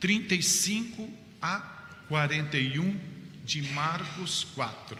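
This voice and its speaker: Amid noticeable background noise, a man speaks at a high pitch and a very slow pace with ordinary pitch variation. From Campinas, São Paulo, Brazil. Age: 70s. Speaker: itinerant evangelical missionary preacher. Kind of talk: sermon with Bible reading.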